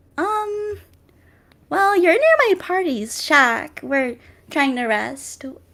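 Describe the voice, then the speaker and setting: In a squeaky, put-on character voice at an extremely high pitch, a woman speaks very slowly with very wide pitch swings and long, frequent pauses. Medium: actual play.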